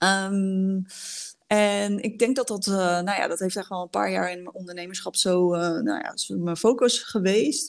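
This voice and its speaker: The woman speaks in an ordinary speaking voice, medium in pitch with ordinary pitch variation, at a fairly slow pace. The recording is very clean, with a silent background. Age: 30s. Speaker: leadership coach. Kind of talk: casual chat.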